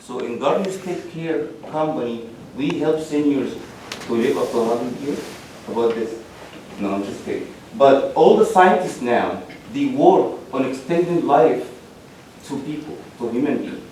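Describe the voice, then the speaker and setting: A man speaks with long, frequent pauses amid audible room echo and noticeable background noise. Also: moderate pace, big swings in loudness. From Egypt. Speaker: business owner applicant. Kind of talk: testimony before municipal board. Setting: public meeting. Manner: halting.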